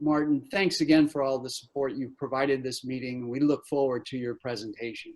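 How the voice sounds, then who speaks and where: A man at a medium pitch, fairly quick, with hardly any pauses and fairly even intonation. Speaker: meeting moderator. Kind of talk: conference introduction. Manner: loud. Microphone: audio problems for some listeners.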